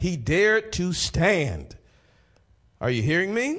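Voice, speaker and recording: An animated man's voice, pitched high, with very wide swings in pitch. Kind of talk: sermon. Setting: church. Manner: animated, call-and-response preaching with exhortations like 'say amen'; halting, repeats phrases while reading scripture and building points.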